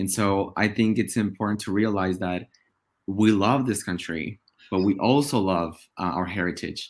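A man with a Spanish accent on a very clean recording, background silent. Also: fairly low pitch for a man, ordinary pitch variation, moderate pace. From Oaxaca, Mexico. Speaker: podcast co-host, attorney. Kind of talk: casual podcast conversation.

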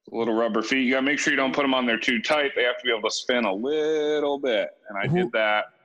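Over noticeable background noise, a man talks at a very fast pace with hardly any pauses, his medium pitch showing ordinary variation and his loudness very even. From New Hampshire, US. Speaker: retail worker, former construction worker. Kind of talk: casual interview conversation.

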